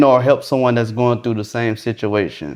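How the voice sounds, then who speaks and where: A man with an American accent talks in a medium pitch. He has an ordinary speaking voice with ordinary pitch variation. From Florida. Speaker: podcast host. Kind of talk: casual interview.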